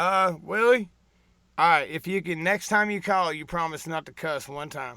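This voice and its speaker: A high-pitched man with a Southern US accent, his tone bright and sharp, his loudness swinging widely. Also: ordinary pitch variation, moderate pace. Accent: Southern country. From US South, Tennessee. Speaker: trucker YouTuber hosting a live show. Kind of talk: casual live-stream chat with a caller. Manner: casual, halting with fillers.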